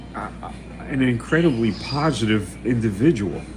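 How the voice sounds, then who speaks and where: A man with an American accent speaks fairly slowly at a medium pitch, his intonation lively. Music plays in the background, and the room echo is audible. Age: 70s. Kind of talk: casual live stream chat. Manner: halting, many repeated words and fillers.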